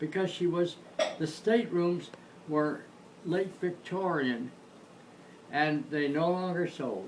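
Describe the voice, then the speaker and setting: A man's high-pitched voice at a moderate pace, over noticeable background noise. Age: 80s+. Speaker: former electronics technician. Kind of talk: interview answer. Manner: casual, reminiscing.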